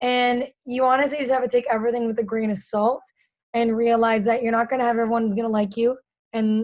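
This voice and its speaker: The speaker talks at a very fast pace. The intonation stays fairly even. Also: woman. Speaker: in-stadium and digital host, producer. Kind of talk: podcast interview. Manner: casual, fast.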